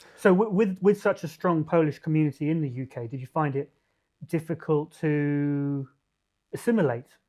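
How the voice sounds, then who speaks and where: A man with a fairly high pitch and ordinary pitch variation speaks at a moderate pace, his loudness swinging widely. His tone is dark and mellow, and the background is quiet. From UK and Paraguay. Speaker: podcast host. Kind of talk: podcast interview.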